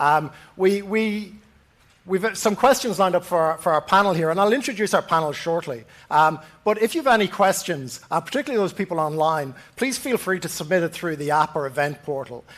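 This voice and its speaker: Fairly quick speech in an Irish accent with lively intonation, on a very clean recording with a silent background. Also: man, high pitch for a man. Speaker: panel moderator. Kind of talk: moderated panel discussion. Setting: stage with live audience. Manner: halting, many fillers.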